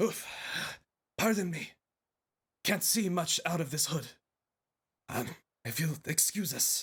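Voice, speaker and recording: Using a put-on character voice, a man speaks in a raspy, high pitch with ordinary pitch variation. He goes at a fairly slow pace with long, frequent pauses. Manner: polite, apologetic.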